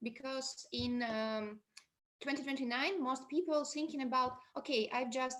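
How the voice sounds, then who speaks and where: Speaking at a fairly slow pace, a woman uses a high voice with ordinary pitch variation. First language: Belarusian or Russian. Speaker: podcaster. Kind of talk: conference panel discussion. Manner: halting non-native English.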